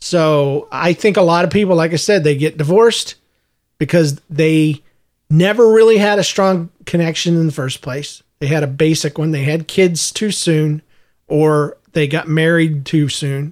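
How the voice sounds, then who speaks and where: A man's plain, everyday voice, fairly high in pitch, at a fairly slow pace with ordinary pitch variation. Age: 40s. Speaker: podcast co-host. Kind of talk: casual chat.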